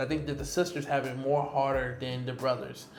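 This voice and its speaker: Noticeable background noise behind a man's moderately paced speech, his pitch varying in an ordinary way. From US, Detroit. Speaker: expat digital nomad and entrepreneur. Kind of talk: casual interview chat. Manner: loud.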